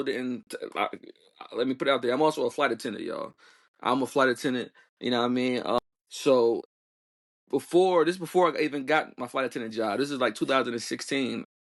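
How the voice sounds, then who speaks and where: In a quiet background, a man talks at a very fast pace in an animated tone with ordinary pitch variation. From Newark, New Jersey, US. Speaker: flight attendant and travel content creator. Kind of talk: casual podcast interview. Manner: animated, repetitive.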